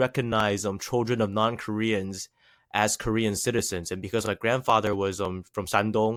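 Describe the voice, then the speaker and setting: This man speaks at a moderate pace with a slight Chinese accent. The recording is very clean, with a silent background. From USA. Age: 20s. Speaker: rapper. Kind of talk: podcast interview.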